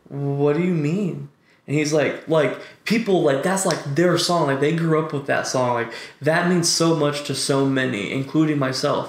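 A man with a fairly high voice talks at a moderate pace with ordinary pitch variation, and noticeable background noise is present. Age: 20s. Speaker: cannabis podcast co-host. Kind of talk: casual chat. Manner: animated.

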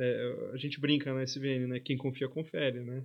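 A man with a medium pitch talks in a monotone, flat intonation. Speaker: investment office manager. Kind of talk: casual interview chat. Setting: studio.

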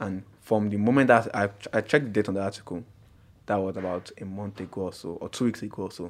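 Talking at a very fast pace in a fairly low voice, a man keeps his intonation fairly even while his loudness swings widely, on a very clean recording with a silent background. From Nigeria, Abuja. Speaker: podcast guest. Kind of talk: casual chat.

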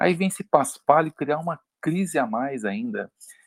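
The recording has a dry, close sound with no echo as a man with a fairly high voice speaks at a moderate pace. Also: very clean recording, silent background. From Minas Gerais, Brazil (Uberlândia). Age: 50s. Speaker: podcast guest. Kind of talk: casual discussion. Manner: halting, repetitive starts.

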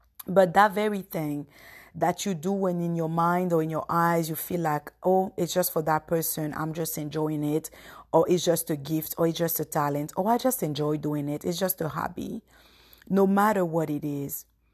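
Delivered at a moderate pace, an ordinary speaking voice keeps a fairly even intonation. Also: woman, fairly low pitch for a woman. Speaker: podcast host. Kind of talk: solo devotional talk. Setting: podcast recording. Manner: reflective, conversational.

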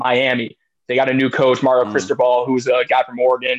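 This man has a medium pitch and a normal speaking voice, talking at a moderate pace. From Washington D.C. area. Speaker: grad student, podcast guest. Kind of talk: casual chat.

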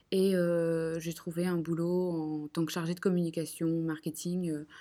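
Recorded very cleanly against a silent background, a woman speaks at a fairly low pitch with a dark, mellow tone. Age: 20s. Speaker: entrepreneur. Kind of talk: interview.

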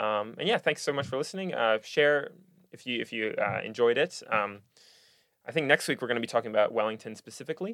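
A man's very fast, nervous, excited speech in a dry, close sound with no echo. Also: medium pitch for a man, ordinary pitch variation. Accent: American. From Singapore. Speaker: podcast host and university student. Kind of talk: casual interview chat. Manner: nervous but excited.

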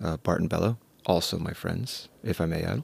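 A man with an American accent talks at a very fast pace. The sound is dry and close with no echo. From New York City. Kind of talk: casual chat.

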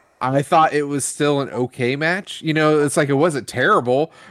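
A man with an American accent speaks in an unremarkable speaking voice at a moderate pace. The recording is very clean, with a silent background. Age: 40s. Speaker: wrestling podcast co-host. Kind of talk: casual chat.

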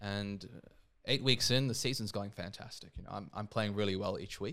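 Fairly quick in pace, a man speaks in a fairly low pitch. He has an Australian accent. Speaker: seminarian and former professional footballer. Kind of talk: casual interview chat.

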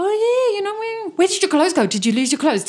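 A woman talks very fast in a squeaky, put-on character voice pitched extremely high. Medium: actual play. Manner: eager, breathless.

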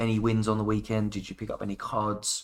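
The recording is very clean with a silent background. A man in a British accent talks at a moderate pace and medium pitch. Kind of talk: casual chat. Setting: in studio, in person.

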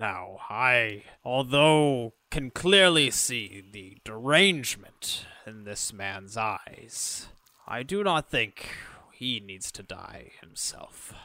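Using a put-on character voice, a man of medium pitch speaks at a very slow pace. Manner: measured, urging calm.

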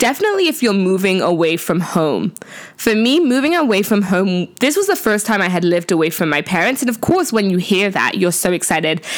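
An animated woman at a medium pitch, lively intonation, very even loudness and a fairly quick pace, with noticeable background noise. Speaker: podcast host. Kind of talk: casual solo talk.

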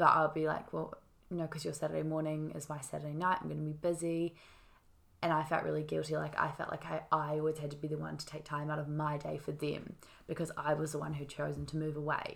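Talking at a very fast pace, a woman with a New Zealand accent uses a very deep, low voice and monotone, flat intonation. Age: 20s. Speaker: podcast guest. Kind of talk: casual conversation.

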